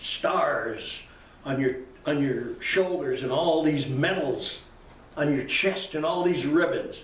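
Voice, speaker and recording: Noticeable background noise and audible room echo fill the recording. A man talks through it. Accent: American. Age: 80s+. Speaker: political commentator. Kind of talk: political commentary. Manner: animated; halting.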